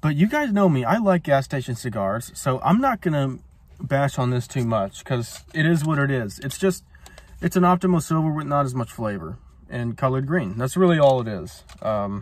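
The speech moves at a moderate pace in a dry sound with no echo. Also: man. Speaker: cigar reviewer. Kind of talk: casual vlog chat. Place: car. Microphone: phone near.

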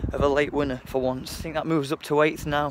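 Noticeable background noise runs under this recording, though the sound is dry with no echo. A man speaks at a fairly quick pace. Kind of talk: casual vlog chat, match commentary. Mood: happy after a win. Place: street. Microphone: phone near.

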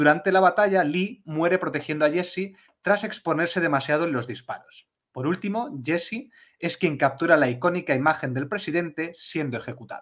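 At a moderate pace, a man talks in a high voice with ordinary pitch variation. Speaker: podcast co-host. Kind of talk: casual chat.

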